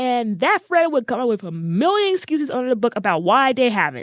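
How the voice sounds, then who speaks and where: A woman's high-pitched voice with very wide pitch swings at a moderate pace, in a dry, close sound with no echo. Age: 20s. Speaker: podcast host. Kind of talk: casual podcast monologue.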